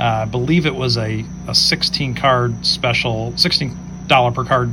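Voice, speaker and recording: A man with an American accent speaks at a fairly slow pace. There is audible room echo and noticeable background noise. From Ohio, Cleveland. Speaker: sports card collector. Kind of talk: recorded show-and-tell video. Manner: halting.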